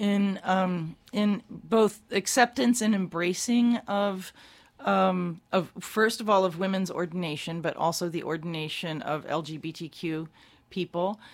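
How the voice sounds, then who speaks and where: A woman talks fairly slowly in a normal speaking voice, medium in pitch with ordinary pitch variation. The recording is very clean and the background silent. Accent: American. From Maryland, Baltimore. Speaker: church lay leader. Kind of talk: radio interview.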